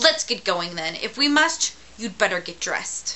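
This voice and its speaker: A woman performs a put-on character voice at a moderate pace, her pitch fairly high with very wide swings. Clear background noise can be heard. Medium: read story. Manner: grumpy, curt.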